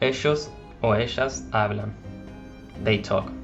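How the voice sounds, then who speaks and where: With music in the background, a man speaks in a Spanish accent with fairly even intonation. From Argentina. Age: 20s. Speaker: language teacher. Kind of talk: language lesson narration.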